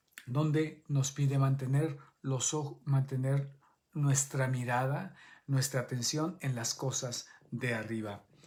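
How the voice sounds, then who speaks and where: The delivery is very slow and somewhat breathy, with fairly even intonation. The recording is very clean, with a silent background. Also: man. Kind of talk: Bible study teaching. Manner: halting.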